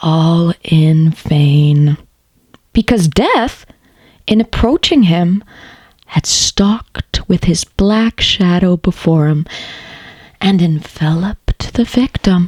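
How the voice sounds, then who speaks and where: Very slow and somewhat breathy, a woman's fairly low voice comes with long, frequent pauses, ordinary pitch variation, very even loudness and a dry, close sound with no echo. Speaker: voice actor. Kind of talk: dramatic story reading. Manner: soft, slow.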